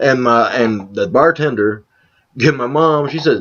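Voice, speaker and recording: Animated in tone, a man talks with an American accent. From Detroit, Kentucky family roots. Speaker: vlogger. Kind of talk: casual chat.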